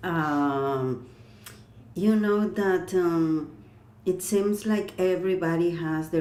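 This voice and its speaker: A woman with a non-native accent speaks at a fairly low pitch with ordinary variation. Audible room echo surrounds her voice. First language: not English. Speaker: clairvoyant and energy healer. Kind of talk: interview. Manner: halting.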